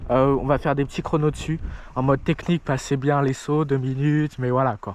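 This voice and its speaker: Noticeable background noise around a man's fairly high-pitched voice. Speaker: mountain bike vlogger. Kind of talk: casual vlog chat. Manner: animated; loud.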